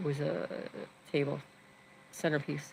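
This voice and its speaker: A woman's very deep, low voice with an American accent, vocal fry and monotone, flat intonation. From New York. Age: 60s. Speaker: vlogger. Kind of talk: casual live stream chat. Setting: home, live stream.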